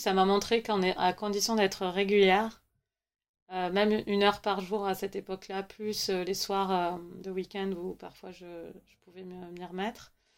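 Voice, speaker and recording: Her intonation is monotone and flat at a medium pitch, though loudness swings widely. The woman is on a very clean recording with a silent background. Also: fairly slow pace. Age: 30s. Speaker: novelist. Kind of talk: interview. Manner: halting.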